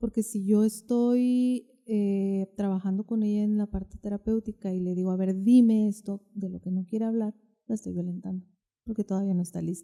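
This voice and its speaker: A woman speaks in a flat monotone, her tone dark and mellow, with a dry, close sound and no echo. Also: medium pitch for a woman, moderate pace. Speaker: therapist. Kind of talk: podcast interview.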